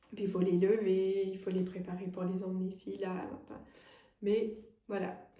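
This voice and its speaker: With audible room echo, a woman speaks fairly slowly at a medium pitch in monotone, flat intonation, leaving long, frequent pauses. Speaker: medium and energy healer. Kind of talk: tarot guidance reading. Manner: hesitant, many fillers; soft-spoken.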